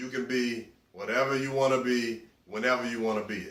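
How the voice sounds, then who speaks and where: A man at a medium pitch and moderate pace, fairly even in intonation, amid noticeable background noise and audible room echo. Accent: Southern US. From US South. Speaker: interviewee. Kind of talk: interview answers.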